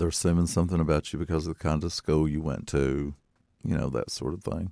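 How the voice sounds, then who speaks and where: In an Appalachian accent, the voice races at a very fast pace with vocal fry and a dark, mellow tone, its intonation fairly even and the sound dry and close with no echo. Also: man, very deep, low pitch for a man. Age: 50s. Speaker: poet and fiction writer. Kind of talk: interview. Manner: conversational.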